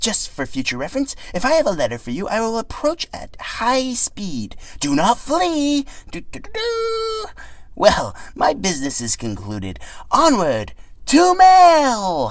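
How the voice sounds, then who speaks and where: In a put-on character voice, a man speaks at an extremely high pitch over light background noise. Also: fairly slow pace, big swings in loudness. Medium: read story. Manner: formal, self-important, excitable.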